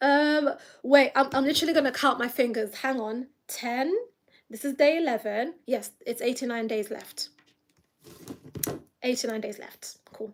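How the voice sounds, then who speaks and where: Pausing long and often, a woman with a high pitch speaks at a moderate pace, with ordinary pitch variation and big swings in loudness. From London, England. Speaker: YouTuber, blind mum vlogger. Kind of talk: casual livestream chat. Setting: live stream. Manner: chatty, hesitant with fillers.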